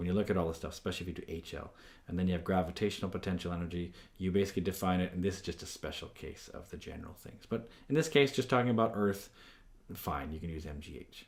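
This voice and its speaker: A man's very deep, low voice at a very fast pace, with ordinary pitch variation, big swings in loudness and audible room echo. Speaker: physics teacher. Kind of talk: lecture.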